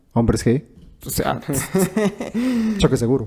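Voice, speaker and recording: A man speaks at a fairly quick pace. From Guatemala. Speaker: radio announcer, sports commentator. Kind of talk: podcast interview answer, casual conversation.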